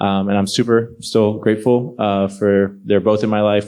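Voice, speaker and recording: This man talks at a fairly quick clip in a fairly low register, with a plain, everyday voice. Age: 30s. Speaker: panel guest. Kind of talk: panel interview.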